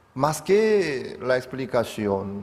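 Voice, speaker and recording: A man with a non-native accent speaks in a room with audible echo. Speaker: pastor. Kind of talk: sermon.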